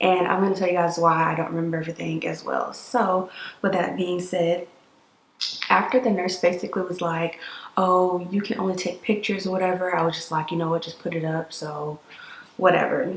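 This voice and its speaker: Fairly quick pace and fairly even intonation, with audible room echo. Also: woman, fairly low pitch for a woman. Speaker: vlogger. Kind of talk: casual chat. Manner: soft-spoken. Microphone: too quiet.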